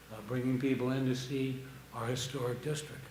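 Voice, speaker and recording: Speaking at a moderate pace, a man is heard through noticeable background noise and audible room echo. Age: 70s. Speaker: public commenter at town council meeting. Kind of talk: public comment. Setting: town council meeting. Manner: halting.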